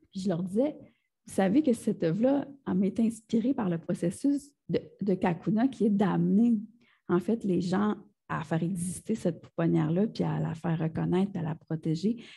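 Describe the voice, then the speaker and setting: At a moderate pace, the voice carries a dark, mellow tone with vocal fry and lively intonation. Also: woman, medium pitch for a woman. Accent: Quebec. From Gaspésie, Quebec. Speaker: multidisciplinary artist. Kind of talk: interview answer. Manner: casual, conversational.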